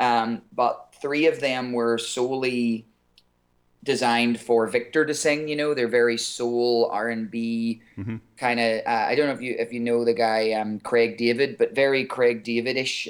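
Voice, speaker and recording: This man has an Irish accent and a medium pitch. He keeps a moderate pace and fairly even intonation. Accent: Irish, somewhat softer than typical. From Ireland. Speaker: singer. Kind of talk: interview.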